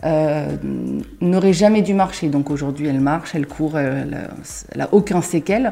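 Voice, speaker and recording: Amid noticeable background noise, a woman with a very deep, low voice and ordinary pitch variation speaks at a fairly slow pace, leaving long, frequent pauses. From Paris region, France. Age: 30s. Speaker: kitchen designer. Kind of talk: interview. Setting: at the guest's home.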